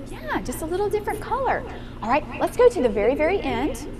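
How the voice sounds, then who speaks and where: Fairly quick and animated, a woman's voice makes very wide pitch swings over noticeable background noise. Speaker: piano teacher giving a master class. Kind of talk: master class instruction. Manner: animated, encouraging.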